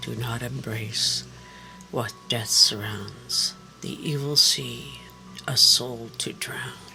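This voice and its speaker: Clear music plays in the background as someone speaks very slowly in a put-on character voice. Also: man, medium pitch for a man. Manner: deadpan.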